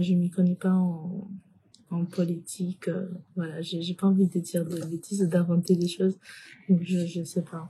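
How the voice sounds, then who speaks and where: Speaking at a fairly slow pace with long, frequent pauses, a woman uses a fairly low, dark, mellow, somewhat breathy voice in a monotone, flat delivery. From Ecuador. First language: Spanish (speaking French). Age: 20s. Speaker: young immigrant interviewee. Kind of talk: interview. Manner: hesitant.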